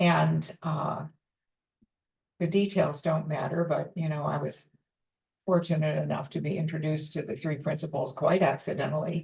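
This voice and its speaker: A woman's very deep, low voice with vocal fry, fairly even intonation, moderate pace and long, frequent pauses. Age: 80s+. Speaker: teacher of a psychological approach. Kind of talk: personal reflective message. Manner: hesitant with fillers.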